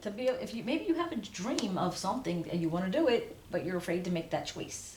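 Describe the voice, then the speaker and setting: Over noticeable background noise and audible room echo, a woman with a fairly low pitch speaks at a moderate pace, her pitch swinging very widely. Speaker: tarot reader. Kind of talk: tarot reading to camera. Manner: halting, self-correcting; casual, conversational.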